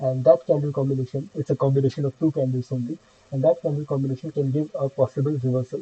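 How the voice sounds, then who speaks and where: A man talks at a very fast pace with a fairly high pitch and a monotone, flat intonation. His dark, mellow voice is somewhat breathy, in an Indian accent. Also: dry, close sound with no echo. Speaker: stock trading educator. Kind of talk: tutorial. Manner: halting, many fillers.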